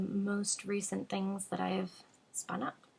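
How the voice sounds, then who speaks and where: At a moderate pace, a woman speaks in a medium pitch that is somewhat breathy. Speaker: knitting podcaster and yarn shop co-owner. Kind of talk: casual vlog chat. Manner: hesitant with filler words.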